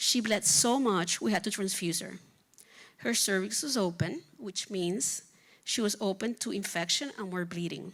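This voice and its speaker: In a very clean recording with a silent background, a woman speaks at a moderate pace with a Spanish accent, using a medium pitch and ordinary pitch variation. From Puerto Rico. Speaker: physician. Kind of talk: reading aloud. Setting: stage with audience.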